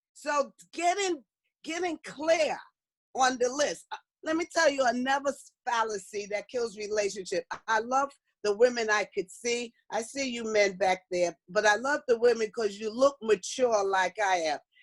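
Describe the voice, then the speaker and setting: The sound is dry and close with no echo as a woman with a fairly high voice speaks at a moderate pace in an animated tone with lively intonation. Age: 60s. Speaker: motivational speaker. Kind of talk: workshop talk.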